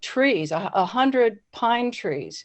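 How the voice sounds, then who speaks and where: A woman's fairly high voice with lively intonation at a very slow pace. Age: 70s. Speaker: member of the public commenting. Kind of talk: public comment at a town meeting. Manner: halting, many fillers and repeats.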